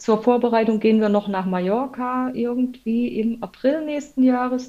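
Her tone is dark and mellow, though her pitch sits fairly high for a woman. She speaks fairly slowly with fairly even intonation. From former East Germany. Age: 40s. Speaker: intensive care nurse and amateur triathlete. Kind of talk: casual interview.

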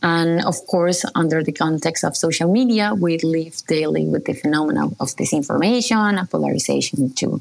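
Speaking with a Spanish accent, a woman keeps a fairly low pitch at a moderate pace. She takes hardly any pauses, and her loudness is very even. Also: lively intonation. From Colombia. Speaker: journalist. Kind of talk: interview.

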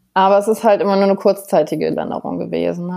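A woman talks at a fairly quick pace, heard in a very clean recording against a silent background. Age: 30s. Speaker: psoriasis patient. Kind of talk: interview.

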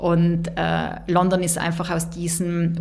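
A woman with a fairly low voice speaks in a room with audible echo and noticeable background noise. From South Tyrol, Bolzano. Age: 30s. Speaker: business executive. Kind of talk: interview. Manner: many hesitations (äh, ähm).

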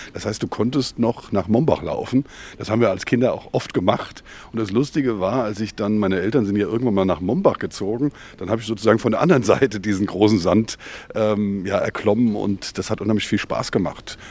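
A man talks fairly quickly in a normal speaking voice, fairly low in pitch with ordinary pitch variation. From Mainz-Gonsenheim. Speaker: publisher and agency owner. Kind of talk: casual interview.

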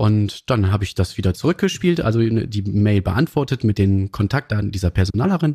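A man's dark, mellow, somewhat breathy voice with lively intonation, a moderate pace and hardly any pauses, on a very clean recording with a silent background. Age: 40s. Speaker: train dispatcher. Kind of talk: interview conversation. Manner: hesitant with fillers.

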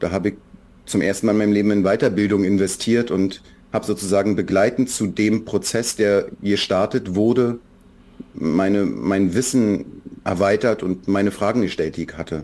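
A man's fairly low voice with a dark, mellow tone, fairly even intonation and a moderate pace. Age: 40s. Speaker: children's book author. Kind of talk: interview.

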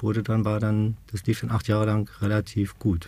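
The man's voice has a dark, mellow tone. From Berlin, Germany. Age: 50s. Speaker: support group co-founder, stoma patient. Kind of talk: casual interview.

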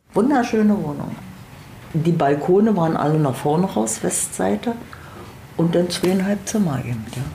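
A woman with a fairly low voice speaks at a moderate pace, taking long, frequent pauses. Her pitch swings very widely, and the recording has audible room echo and noticeable background noise. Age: 70s. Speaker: tenant. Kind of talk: interview testimony.

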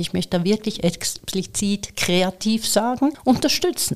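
A woman speaks at a medium pitch in an ordinary speaking voice. Her pace is moderate, with ordinary pitch variation. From Switzerland. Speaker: AI entrepreneur and speaker. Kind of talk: interview.

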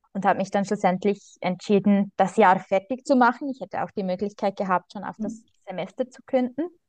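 A woman with a Swiss accent speaks at a fairly quick pace and a medium pitch, with ordinary pitch variation, big swings in loudness and a dry, close sound with no echo. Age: 20s. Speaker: primary school teacher. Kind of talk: interview.

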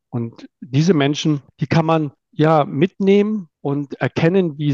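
Very slowly, a man talks in a fairly high voice with a dark, mellow tone and ordinary pitch variation. The sound is dry and close, without echo. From northern Germany (Itzehoe, near Bremen). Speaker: manager. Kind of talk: interview.

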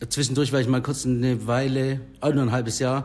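An unremarkable speaking voice belongs to a man who talks at a moderate pace. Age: 30s. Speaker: bar owner. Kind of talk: casual interview. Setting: in his bar.

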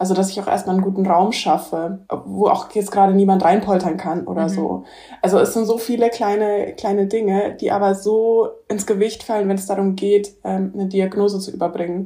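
A woman talks at a fairly quick pace in a medium pitch, her tone dark and mellow and her intonation flat and monotone. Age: 20s. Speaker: hospice companion and author. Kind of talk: interview conversation. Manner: laughs often.

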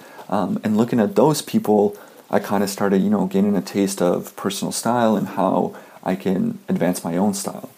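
A man with a Canadian accent talks over noticeable background noise. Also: moderate pace. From Canada. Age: 20s. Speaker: fashion blogger. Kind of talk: interview.

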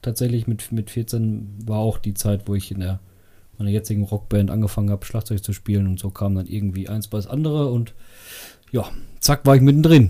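In a very clean recording with a silent background, a man speaks fairly quickly at a fairly low pitch, somewhat breathy and dark, mellow in tone, with ordinary pitch variation. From Sauerland, Germany. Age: 30s. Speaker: rock club vice chair and drummer. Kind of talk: casual chat. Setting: home basement recording.

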